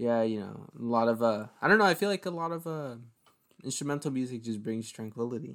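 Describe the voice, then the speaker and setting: Recorded very cleanly against a silent background, a man with an unremarkable speaking voice talks fairly quickly in a medium pitch with lively intonation. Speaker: podcast host. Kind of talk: casual chat. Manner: casual, slangy.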